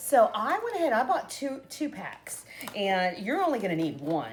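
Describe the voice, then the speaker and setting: Against noticeable background noise, a woman sounds animated, her pitch swinging very widely. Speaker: cooking vlogger. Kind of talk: casual cooking tutorial. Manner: chatty, animated.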